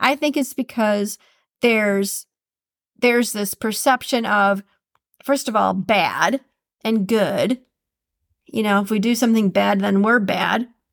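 A woman with a Minnesotan accent and a fairly high pitch talks in a warm, upbeat tone at a fairly slow pace with long, frequent pauses, in a dry, close sound with no echo on a very clean recording with a silent background. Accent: Minnesotan Midwestern. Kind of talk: podcast monologue with quote reading. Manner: warm, upbeat, conversational.

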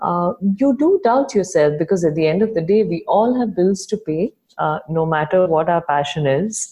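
With a Tamil accent, a woman speaks at a moderate pace and medium pitch, somewhat breathy, with lively intonation. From India, Chennai. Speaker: founder of an online magazine. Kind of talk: interview. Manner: hesitant, with many fillers.

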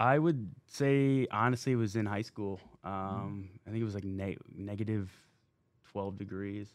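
Here is a plain, everyday voice with an American accent, moving at a fairly slow pace with ordinary pitch variation. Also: man, fairly low pitch for a man. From Minnesota. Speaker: pro football player. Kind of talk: radio interview.

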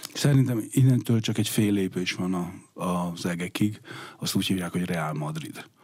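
A man with a very deep, low voice keeps a moderate pace and ordinary pitch variation. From Hungary. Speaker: sports economist. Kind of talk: radio interview. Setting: studio. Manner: halting.

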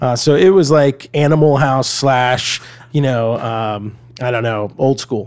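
Using a plain, everyday voice, a man with an American accent talks at medium pitch and a fairly slow pace with ordinary pitch variation. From US South, Atlanta, Georgia. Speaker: media company CEO, former TV journalist. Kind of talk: interview conversation.

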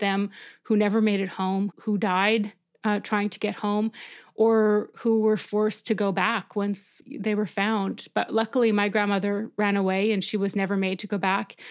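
In front of a quiet background, a woman talks at a medium pitch with monotone, flat intonation. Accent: Canadian. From Saskatchewan, Canada. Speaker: journalist. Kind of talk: interview.

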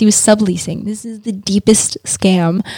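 A woman with a New York accent speaks at a medium pitch and a moderate pace, with fairly even intonation. Her tone is dark, mellow and somewhat breathy, and the sound is dry and close with no echo. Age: 20s. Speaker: model and hairdresser. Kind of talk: casual chat. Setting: studio.

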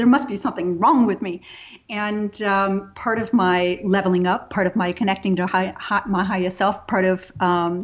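A woman with an American accent talks at a medium pitch with ordinary pitch variation. Hers is an unremarkable speaking voice. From Texas. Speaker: yoga teacher. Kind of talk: interview.

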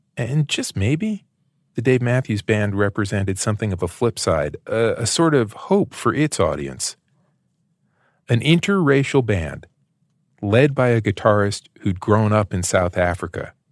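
A man with an American accent speaks at a fairly slow pace and medium pitch, using an ordinary speaking voice with lively intonation. The sound is dry and close, with no echo. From United States. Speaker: podcast host and interviewer. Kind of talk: scripted narration mixed with interview.

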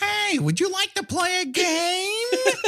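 Someone whispers in a put-on character voice at a fairly slow pace, with clear background noise. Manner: stage whisper.

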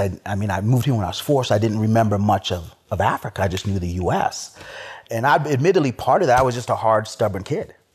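Speaking very fast, a man with a fairly low, somewhat breathy voice uses ordinary pitch variation. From Chad. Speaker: cigar group member. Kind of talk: casual chat. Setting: in-person.

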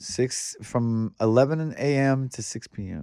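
The voice has a dark, mellow tone and ordinary pitch variation, spoken in an American accent. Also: man. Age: 60s. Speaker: graffiti artist. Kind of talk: casual chat. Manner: halting.

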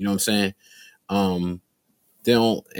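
The speaker has an American accent, captured in a very clean recording with a silent background. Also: man. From Newark, New Jersey. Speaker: rapper and producer. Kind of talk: casual chat.

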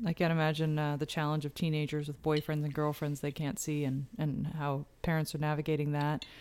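Hardly pausing, a woman with a Canadian Maritime accent speaks at a fairly quick pace in a very deep, low pitch with monotone, flat intonation, in a very clean recording over a silent background. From New Brunswick, Canada.

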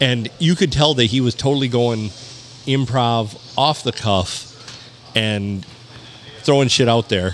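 Over noticeable background noise, a man speaks at a fairly slow pace with long, frequent pauses. His pitch is medium with ordinary variation, and his loudness is very even. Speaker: podcast co-host. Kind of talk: casual chat.

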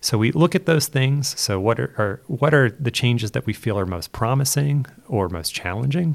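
A man talks with an American accent in an ordinary speaking voice at a medium pitch. His intonation is lively and his pace moderate. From southeastern Pennsylvania, US. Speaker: education futurist. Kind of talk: interview.

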